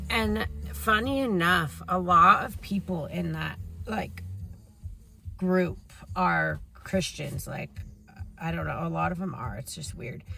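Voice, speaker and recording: A woman talks at a very slow pace, with long, frequent pauses and big swings in loudness. Music plays in the background, and the room echo is audible. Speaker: vlogger. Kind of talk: testimony. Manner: casual, hesitant with fillers.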